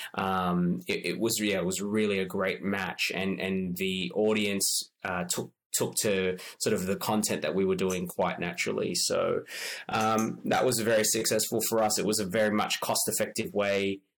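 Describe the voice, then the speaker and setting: Fairly low in pitch, a man speaks at a moderate pace with fairly even intonation. His loudness stays very even. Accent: Australian. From Australia, Sydney. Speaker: marketing consultant. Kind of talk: interview. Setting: at home, remote.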